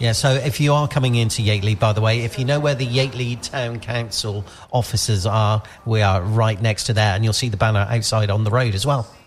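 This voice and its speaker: Against noticeable background noise, a man speaks at a fairly quick pace with medium pitch and fairly even intonation. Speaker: radio host. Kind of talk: live radio show chat. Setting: radio outside broadcast at a youth centre.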